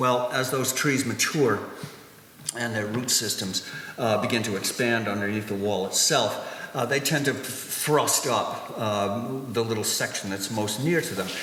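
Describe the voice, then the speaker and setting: A man's medium-pitched voice at a fairly slow pace, ordinary pitch variation, and noticeable background noise. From New Hampshire, New England. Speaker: stone wall builder. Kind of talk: public history lecture. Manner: hesitant, many fillers.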